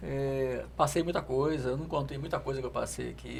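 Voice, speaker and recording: A man talking at a fairly quick pace. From Brazil, Rio de Janeiro. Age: 60s. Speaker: former government official. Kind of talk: podcast interview.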